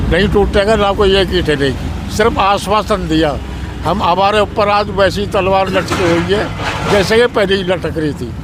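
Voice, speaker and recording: Amid noticeable background noise and audible room echo, a man speaks in a high voice with fairly even intonation. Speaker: former village head. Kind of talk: street interview.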